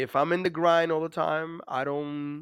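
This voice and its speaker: This man, with a Dominican accent, has a fairly high pitch and fairly even intonation. He talks at a moderate pace on a very clean recording with a silent background. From Dominican Republic. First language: Spanish. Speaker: navy master chief, war veteran. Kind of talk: interview. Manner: hesitant, many fillers.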